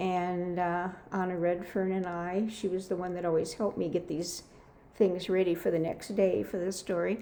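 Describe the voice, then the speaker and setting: A woman at a medium pitch, with a dark, mellow tone and a fairly slow pace, in audible room echo. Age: 80s+. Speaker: children's Bible teacher. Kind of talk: interview.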